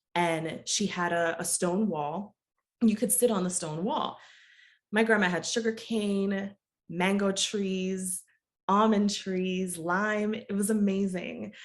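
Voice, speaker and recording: The speaker has an American accent and fairly even intonation. The pace is very slow. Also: woman, medium pitch for a woman. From US, Jamaican mother, childhood visits to Jamaica. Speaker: project management coach, business owner. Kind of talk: podcast interview.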